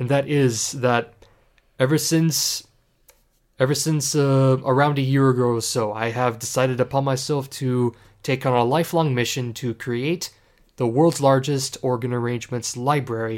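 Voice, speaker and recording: A man in a Canadian accent talks at medium pitch with fairly even intonation on a very clean recording with a silent background. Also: moderate pace. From Canada, Ontario. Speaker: organist and podcast co-host. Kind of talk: casual chat. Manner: halting, many fillers and restarts.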